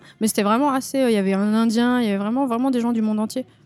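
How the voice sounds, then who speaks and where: A woman speaks with fairly even intonation while music plays in the background. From France, Lyon area. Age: 30s. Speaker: tattoo artist. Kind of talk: casual interview.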